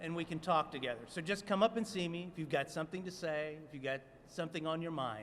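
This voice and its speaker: With a high pitch, a man speaks at a very fast pace. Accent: American. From US South. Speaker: city commission member. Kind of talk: press conference speech. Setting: city hall rotunda press conference.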